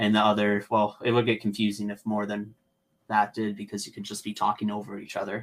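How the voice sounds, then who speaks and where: Fairly low in pitch, a man speaks at a fairly quick pace with monotone, flat intonation. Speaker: adaptive snowboard coach. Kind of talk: interview answer. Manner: casual.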